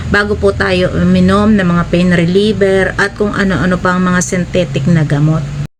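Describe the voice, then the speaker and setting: Audible room echo and noticeable background noise surround a woman who is talking. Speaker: YouTuber. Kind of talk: vlog monologue. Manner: hesitant with filler sounds.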